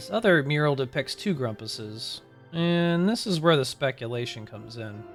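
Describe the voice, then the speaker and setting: Music plays in the background. The voice moves at a fairly slow pace with very wide pitch swings. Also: man. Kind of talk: video game lore narration. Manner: chill.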